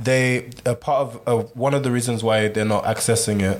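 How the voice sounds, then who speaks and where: Noticeable background noise sits under a man's medium-pitched voice. He talks at a moderate pace with fairly even intonation. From Sierra Leone. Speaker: social activist and writer. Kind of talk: casual chat.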